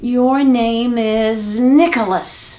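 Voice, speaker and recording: In a put-on character voice, a female-sounding speaker talks at a fairly high pitch. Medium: read story.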